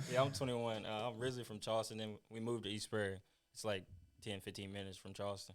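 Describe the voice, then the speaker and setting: In an American accent, a man with a fairly low pitch talks at a very fast pace in a monotone, flat intonation. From US Midwest (southeast Missouri). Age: 20s. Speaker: college football player. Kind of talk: interview. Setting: podcast.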